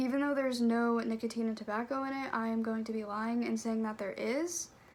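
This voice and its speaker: Against noticeable background noise, a woman with a fairly high pitch talks at a fairly quick pace with fairly even intonation. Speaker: vlogger. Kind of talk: casual vlog chat. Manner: casual, lots of 'like'.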